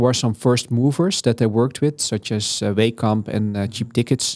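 With a Dutch accent, a man speaks at a moderate pace with fairly even intonation. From Netherlands, south. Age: 40s. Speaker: head of data and digital at a food company. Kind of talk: interview. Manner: halting, many fillers.

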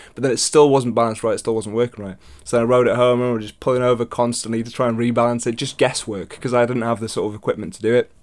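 A man with a British accent talks at a very fast pace in a medium pitch, with monotone, flat intonation and hardly any pauses. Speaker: podcast host. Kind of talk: casual chat.

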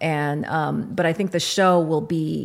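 A woman's very deep, low voice with vocal fry and ordinary pitch variation, with an American accent. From Kentucky, US. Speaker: writer and editor. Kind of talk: interview.

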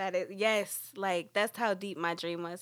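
In an American accent, a woman with an unremarkable speaking voice talks at a moderate pace, her medium pitch held in fairly even intonation on a very clean recording with a silent background. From New York, Dominican family. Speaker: podcast guest. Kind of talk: casual chat.

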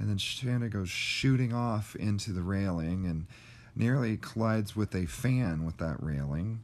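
A man's pitch swings very widely as he talks fairly slowly. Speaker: podcast host and wrestling critic. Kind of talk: angry rant, scathing review of a wrestling match. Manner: exasperated, sarcastic, mocking; indignant, emphatic, hammering on each flaw.

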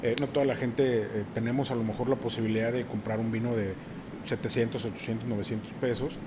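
Medium in pitch, a man speaks at a moderate pace in a monotone with flat intonation, with audible room echo and noticeable background noise. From Mexico City. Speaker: sommelier and wine and craft beer producer. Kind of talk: casual chat.

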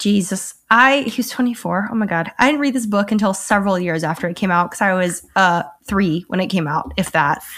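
A woman's fairly quick, nearly pauseless speech with an American accent and ordinary pitch variation. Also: medium pitch for a woman, very clean recording, silent background. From US South. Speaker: podcast host and filmmaker. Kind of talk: casual chat.

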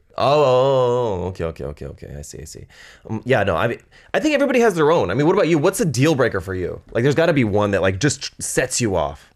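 A man with vocal fry talks at a very fast pace in a medium pitch, his pitch swinging very widely and his loudness rising and falling sharply. The recording is very clean, with a silent background. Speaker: guest. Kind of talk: casual chat.

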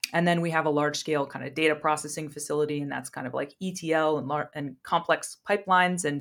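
Very deep and low, a woman's voice moves at a very fast pace with fairly even intonation. The recording is very clean, with a silent background. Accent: American. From US Midwest, Ohio. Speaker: data science leader. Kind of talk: interview.

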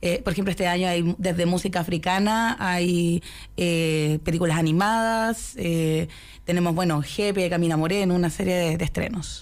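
A woman with a fairly low pitch speaks in an unremarkable speaking voice at a moderate pace. Her intonation is fairly even and her loudness very even. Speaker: film festival producer. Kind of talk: radio interview.

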